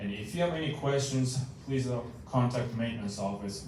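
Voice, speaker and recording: A man at a medium pitch speaks at a fairly quick pace with ordinary pitch variation, amid audible room echo and noticeable background noise. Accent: Japanese. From Japan. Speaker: maintenance manager. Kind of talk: meeting report. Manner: halting, many fillers.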